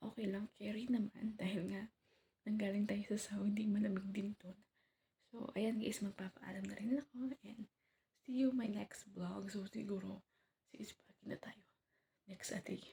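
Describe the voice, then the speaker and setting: Soft-spoken and somewhat breathy, a woman talks in a dark, mellow tone with monotone, flat intonation and long, frequent pauses, in a dry, close sound with no echo. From Philippines. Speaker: vlogger. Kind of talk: casual vlog update. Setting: at home early morning.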